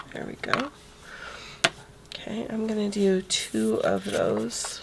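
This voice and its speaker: A woman talks at a very slow pace, her loudness swinging widely. Noticeable background noise runs underneath. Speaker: scrapbooking instructor. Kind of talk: casual craft tutorial talk.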